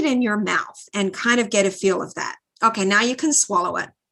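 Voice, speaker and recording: Against a quiet background, a woman speaks at a moderate pace in a fairly high pitch, with a bright, sharp, animated tone. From Australia. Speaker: neuroradiologist. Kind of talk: lecture.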